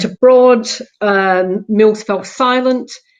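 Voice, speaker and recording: At a very slow pace, a woman with a Scottish accent talks at a fairly high pitch with fairly even intonation. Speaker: local councillor. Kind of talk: conference panel talk.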